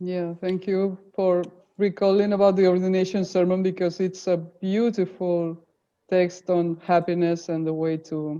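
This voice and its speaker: At a fairly slow pace, a woman with a Spanish accent speaks at medium pitch in a dark, mellow, monotone voice with flat intonation. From Spain, Barcelona. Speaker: presenter. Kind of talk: webinar Q&A discussion. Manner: clear speech.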